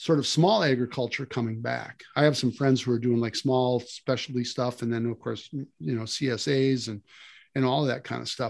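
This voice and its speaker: A man speaks with an Upper Midwest accent. His pace is moderate. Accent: Upper Midwest American. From Wisconsin, rural. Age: 60s. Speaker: land management consultant. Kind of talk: casual interview.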